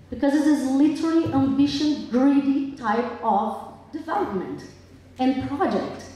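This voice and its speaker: Noticeable background noise and audible room echo surround the recording. A woman speaks at a high pitch and a fairly slow pace, with ordinary pitch variation. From Brazil. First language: Portuguese. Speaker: public commenter at town hearing. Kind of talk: public comment at hearing. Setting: public hall with audience. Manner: impassioned.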